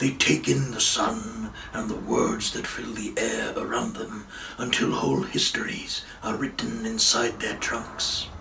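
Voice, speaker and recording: A man in a put-on character voice, at a fairly slow pace, over clear background noise. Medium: read story. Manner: slow, solemn.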